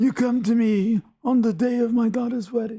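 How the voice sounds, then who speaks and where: A man uses a put-on character voice at extremely high pitch. He speaks at a moderate pace. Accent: Italian. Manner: gruff, aggrieved.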